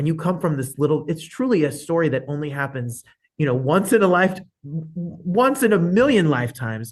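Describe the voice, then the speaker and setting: With an animated tone and lively intonation, a man speaks at a fairly quick pace in a somewhat breathy voice. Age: 40s. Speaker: talk show host. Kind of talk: interview.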